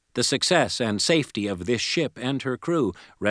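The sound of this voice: The reading voice is unforced, with a lively intonation.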